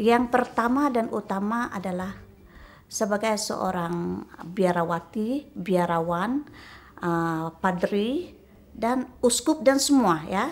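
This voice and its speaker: A woman speaks at a very slow pace with lively intonation on a very clean recording with a silent background. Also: medium pitch for a woman. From Sarawak, Malaysia (Melanau). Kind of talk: interview testimony. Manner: halting, many fillers.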